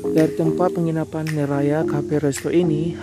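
A man speaks at a fairly slow pace. The sound is dry with no echo, and loud music plays in the background. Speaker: travel vlogger. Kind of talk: casual vlog chat. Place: open country. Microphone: phone near.

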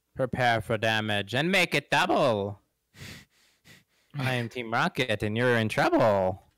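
In a put-on character voice, a man speaks sing-song at a medium pitch and moderate pace. Long, frequent pauses break it up on a very clean recording with a silent background. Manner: theatrical, sing-song, bubbly.

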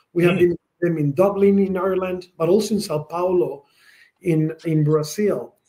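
At a moderate pace, a man with a Spanish accent speaks in a high pitch, his dark, mellow tone paired with fairly even intonation. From Spain. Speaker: tech company president. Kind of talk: interview. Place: office.

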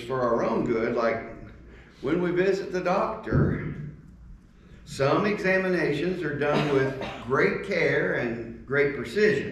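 Lively intonation marks this man's speech, heard with audible room echo and light background noise. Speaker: speaker. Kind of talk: communion devotional talk. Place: church. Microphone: camera far.

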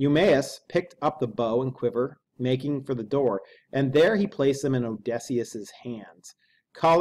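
Ordinary pitch variation in an unforced reading voice, against a quiet background.

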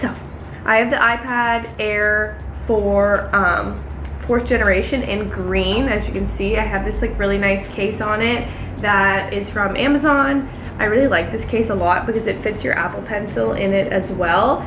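Music plays in the background. The pace is moderate. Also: woman. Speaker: vlogger. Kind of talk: casual vlog chat. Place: kitchen. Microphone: phone near.

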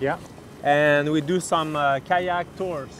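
Music plays in the background as a man with a high voice speaks at a fairly slow pace, the sound dry with no echo. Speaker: local kayak guide. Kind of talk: interview answer. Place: waterside.

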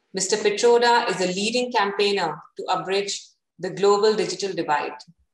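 A woman speaks at a moderate pace, with audible room echo around her. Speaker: host of an interview series. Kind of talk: formal introduction of a guest. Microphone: video call.

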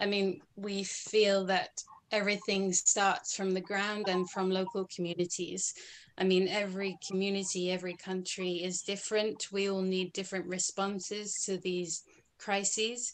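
In a Scottish accent, a woman speaks at a moderate pace with monotone, flat intonation. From Scotland. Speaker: activist; interview guest. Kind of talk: interview. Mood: earnest, engaged. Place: home room. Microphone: video call.

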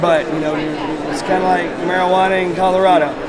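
There is loud background noise. Over it, a man talks at a fairly quick pace. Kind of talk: interview answer. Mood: calm, explanatory. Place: hall.

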